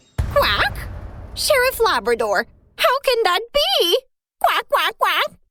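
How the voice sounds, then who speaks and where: A cartoonish character voice, female-sounding and extremely high-pitched for a woman, at a fairly slow pace with sound effects in the background. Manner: punctuates every sentence with quacks.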